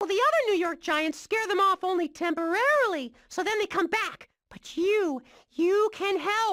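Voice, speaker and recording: An extremely high, put-on character voice at a moderate pace. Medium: video game. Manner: excitable, fast.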